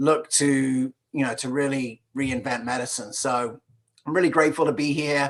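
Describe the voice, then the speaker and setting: At a moderate pace, a man talks in a fairly high pitch with fairly even intonation. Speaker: functional medicine entrepreneur and speaker. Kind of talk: conference talk. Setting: video call from garden shed.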